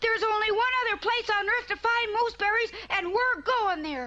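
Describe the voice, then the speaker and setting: An upbeat, cartoonish character voice chatters at an extremely high pitch and a fairly quick pace. Clear background noise is present. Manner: earnest, upbeat.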